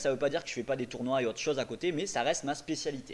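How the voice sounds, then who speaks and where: This is a man speaking at medium pitch. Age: 20s. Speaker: professional poker player. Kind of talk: tutorial; casual chat. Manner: casual, many filler hesitations.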